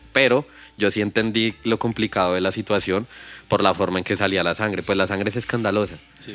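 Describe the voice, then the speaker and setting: With music in the background, a man speaks at a fairly low pitch and with fairly even intonation. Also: fairly quick pace. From Bogotá, Colombia (Kennedy). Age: 30s. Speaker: rapper. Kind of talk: casual chat.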